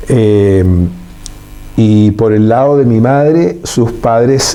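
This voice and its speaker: Lively intonation from a man at medium pitch, with audible room echo and noticeable background noise. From Chile. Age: 70s. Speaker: engineer and businessman. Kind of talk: interview conversation. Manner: formal.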